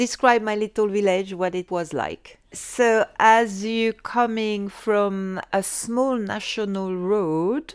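Very slowly, a woman speaks with a French accent and a fairly high pitch. Her pitch varies in an ordinary way, and the recording is very clean with a silent background. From France, Savoie Alps. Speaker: London immigrant sharing life story. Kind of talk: personal storytelling interview. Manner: halting with frequent hesitations.

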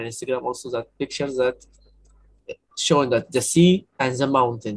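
This man speaks at a moderate pace with an Arabic accent. His voice is medium in pitch, somewhat breathy, with ordinary pitch variation. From Egypt, Cairo. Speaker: documentary photographer. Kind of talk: casual chat. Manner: halting.

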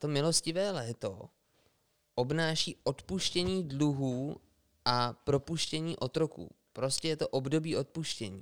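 With dry, close sound and no echo, a man speaks at a fairly slow pace in a fairly high pitch with ordinary pitch variation. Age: 30s. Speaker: podcast co-host. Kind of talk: casual chat.

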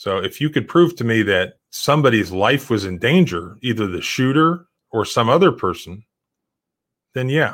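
A man with an American accent speaks at a medium pitch and a moderate pace. His pitch swings very widely, and the recording is very clean with a silent background. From Florida. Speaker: civil rights lawyer and podcast host. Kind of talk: casual interview and commentary.

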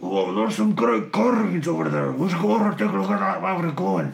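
Someone rattles along at a very fast pace in a put-on character voice. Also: man, medium pitch for a man. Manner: loud and projecting.

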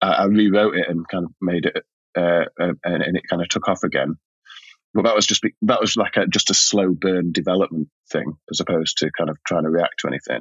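A man with a Yorkshire accent talks at a fairly quick pace. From Yorkshire, Sheffield, northern England. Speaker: writer and playwright. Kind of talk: casual chat. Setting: remote call.

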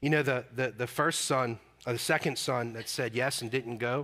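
Loud, bright and sharp, a man's medium-pitched voice at a moderate pace. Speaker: pastor. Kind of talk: sermon. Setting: church. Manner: animated.

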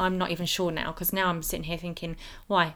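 This woman has an English accent and a medium pitch. She talks at a fairly quick pace. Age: 30s. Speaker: skin condition advocate. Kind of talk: personal testimony. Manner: hesitant, many fillers.

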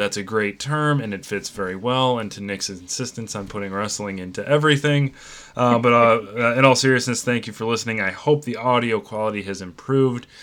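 A man with an unremarkable speaking voice talks at a fairly quick pace. His pitch is medium, with ordinary pitch variation. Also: hardly any pauses. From northern Illinois. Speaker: podcast host. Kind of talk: casual chat.

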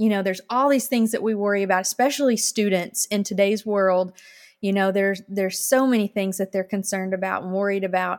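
A woman with an Arkansas accent talks very fast at a medium pitch with fairly even intonation, in a very clean recording with a silent background. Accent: Southern US (Arkansas). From Arkansas, US South. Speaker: former TV reporter, church volunteer. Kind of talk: interview, personal testimony.

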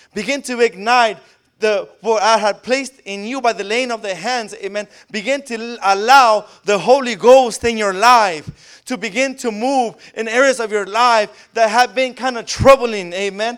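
An animated man with an American accent speaks at a moderate pace in an extremely high pitch. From Riverside, California. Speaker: guest preacher. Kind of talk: sermon. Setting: church.

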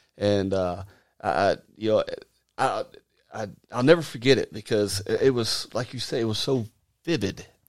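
The speaker has an Arkansas accent and ordinary pitch variation. The pace is moderate, with long, frequent pauses. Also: man, medium pitch for a man. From Arkansas, US South. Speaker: minister. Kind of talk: casual chat. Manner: halting.

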